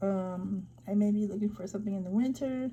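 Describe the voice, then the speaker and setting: A woman speaks at a moderate pace with a medium pitch. Her tone is dark and mellow, and somewhat breathy. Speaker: vlogger giving job-search tips. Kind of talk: screen-share tutorial. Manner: casual, many fillers.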